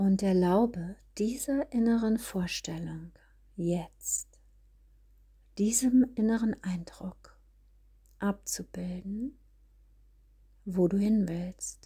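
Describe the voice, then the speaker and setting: The voice is calm and soothing, moving at a very slow pace. Long pauses come often. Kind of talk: guided meditation. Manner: slow, calm and soothing, with long pauses; gentle, hushed, repeating phrases in a measured rhythm.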